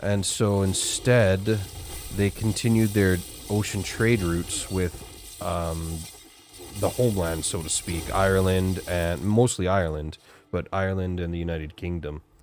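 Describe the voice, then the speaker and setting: Against noticeable background noise, a man with a western Canadian accent talks fairly slowly in a very deep, low pitch with ordinary pitch variation. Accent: typical western Canadian. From western Canada, Alberta. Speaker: gaming streamer. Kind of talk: live gameplay stream chat. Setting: live stream.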